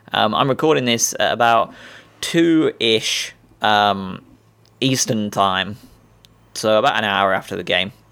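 A man speaks at a very slow pace with an English accent and a medium pitch. His tone is bright and sharp, with ordinary pitch variation. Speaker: football fan podcaster. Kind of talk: casual monologue. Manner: hesitant, many ums.

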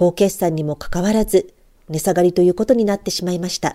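A woman with a medium pitch talks in an ordinary speaking voice. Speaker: trader and stock blogger. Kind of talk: scripted market report. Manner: formal.

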